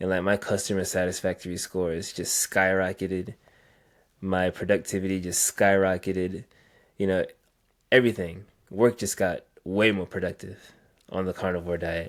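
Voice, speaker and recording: Speaking with an American accent, a man uses a very deep, low pitch and monotone, flat intonation at a moderate pace. Long, frequent pauses break it up, on a very clean recording with a silent background. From US South, Virginia. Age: 20s. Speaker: IT support worker on carnivore diet. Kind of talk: interview.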